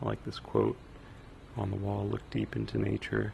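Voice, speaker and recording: Soft-spoken and relaxed in tone, a man talks at a moderate pace over noticeable background noise. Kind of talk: casual first-person museum tour narration. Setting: binaural microphone recording, ambient museum sounds. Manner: soft-spoken, relaxed, rambling.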